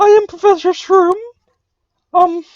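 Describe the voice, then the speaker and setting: A woman does a put-on character voice, squeaky and at an extremely high pitch. Her intonation stays monotone and flat. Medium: actual play.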